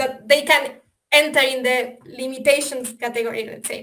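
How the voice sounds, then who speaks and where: A woman with an Argentine accent and a bright, sharp tone, heard with audible room echo. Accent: Argentinian. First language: Spanish. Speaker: software developer presenting a simulator. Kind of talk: webinar presentation. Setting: online webinar. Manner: hesitant, many fillers.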